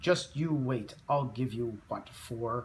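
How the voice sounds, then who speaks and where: A man growls in a put-on character voice at a medium pitch, speaking at a very slow pace. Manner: growling; determined, threatening.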